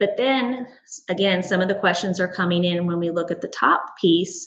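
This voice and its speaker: The speaker is a woman. She has a plain, everyday voice. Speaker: school administrator. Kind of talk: board meeting presentation.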